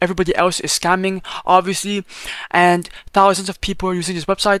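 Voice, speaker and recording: Recorded dry and close with no echo, a man talks at a fairly quick pace in a high voice. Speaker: crypto YouTuber. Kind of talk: tutorial. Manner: fast; casual, animated.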